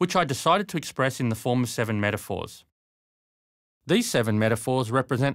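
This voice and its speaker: Here is an unremarkable speaking voice from a man with a medium pitch at a moderate pace. The recording is very clean, with a silent background. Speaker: leadership coach and author. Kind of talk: book trailer narration.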